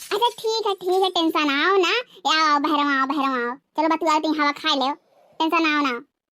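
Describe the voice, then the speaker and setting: A woman talks at a fairly quick pace in a cartoonish character voice, extremely high in pitch with ordinary pitch variation, very even loudness and a dry, close sound with no echo. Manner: warm, coaxing.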